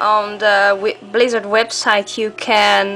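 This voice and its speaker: A woman speaks at a very slow pace with music in the background. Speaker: gamer. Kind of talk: casual product demo to camera.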